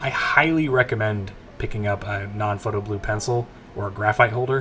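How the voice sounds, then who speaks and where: Noticeable noise hums in the background. A man talks in a fairly low voice. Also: ordinary pitch variation, fairly quick pace. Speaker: comic artist. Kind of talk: tutorial. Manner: laid-back.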